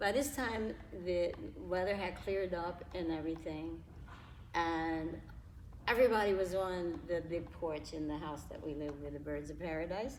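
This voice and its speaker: A woman with an American accent speaks at a fairly low pitch with vocal fry. Her pace is moderate, with ordinary pitch variation and audible room echo. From New York (Harlem), later California. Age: 70s. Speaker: interview guest. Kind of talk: casual interview, personal testimony. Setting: local gym.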